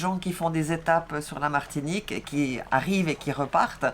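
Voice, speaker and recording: A woman speaks with a strong Swiss accent and a very deep, low pitch. Her pace is moderate and her intonation fairly even. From Switzerland. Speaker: sailing vlogger. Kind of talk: casual chat.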